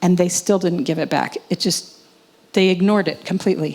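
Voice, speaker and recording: This woman has a medium-pitched voice with an American accent. Her tone is dark and mellow, and she talks fairly quickly. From US. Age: 60s. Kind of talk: conference presentation with Q&A.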